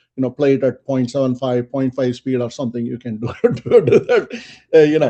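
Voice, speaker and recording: The intonation is monotone and flat. It belongs to a man speaking at a medium pitch. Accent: non-native. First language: not English. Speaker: quality and lean six sigma expert. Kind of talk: webinar interview.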